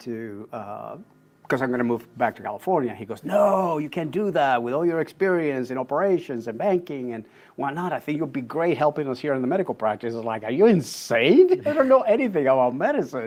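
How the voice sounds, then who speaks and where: A man with a Spanish accent, fairly high pitch and a fairly quick pace. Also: lively intonation. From Puerto Rico. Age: 60s. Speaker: executive coach. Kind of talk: interview conversation.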